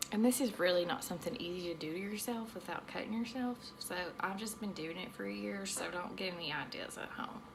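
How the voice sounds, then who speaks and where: A woman of medium pitch speaks at a moderate pace with ordinary pitch variation, amid noticeable background noise and audible room echo. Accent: slight Southern US. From US South. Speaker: aesthetician. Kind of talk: tutorial. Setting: home treatment room. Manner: rambling, casual.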